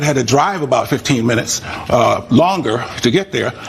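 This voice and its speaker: A man with a fairly high voice speaks fairly quickly, and noticeable background noise is present. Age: 80s+. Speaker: plaintiff in small claims court. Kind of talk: courtroom testimony. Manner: halting, with frequent fillers.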